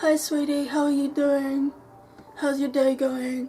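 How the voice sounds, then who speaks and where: A woman's put-on character voice, high-pitched and monotone with flat intonation, at a fairly slow pace and very even loudness, over clear music in the background. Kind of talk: friendly, saccharine. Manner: fake sweet, syrupy.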